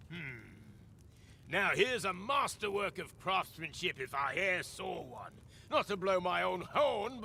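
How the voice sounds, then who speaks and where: A man puts on a gruff character voice with a high pitch. He speaks at a moderate pace over clear background noise. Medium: video game. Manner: gruff, grumpy.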